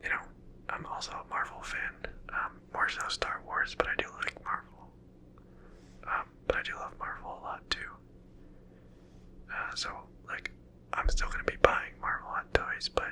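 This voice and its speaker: With long, frequent pauses, the whispering proceeds at a moderate pace amid noticeable background noise. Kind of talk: ASMR LEGO building video, casual talk to camera. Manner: whispered.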